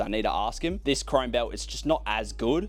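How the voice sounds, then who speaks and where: Over noticeable background noise, a man with an Australian accent talks at a fairly quick pace. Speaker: fashion haul youtuber. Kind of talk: casual unboxing video. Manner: animated.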